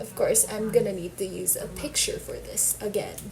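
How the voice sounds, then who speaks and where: With music in the background and audible room echo, a woman talks at a fairly quick pace. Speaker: beauty vlogger. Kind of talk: casual chat; tutorial.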